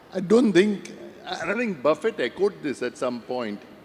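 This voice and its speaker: A man talks at a moderate pace with lively intonation over noticeable background noise. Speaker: investor, fund manager on panel. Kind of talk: panel discussion.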